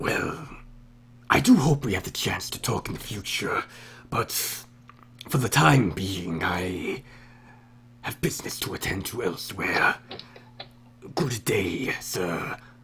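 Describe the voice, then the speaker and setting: Amid clear background noise, a man whispers in a put-on character voice at a fairly slow pace, leaving long, frequent pauses. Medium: actual play. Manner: formal, polite.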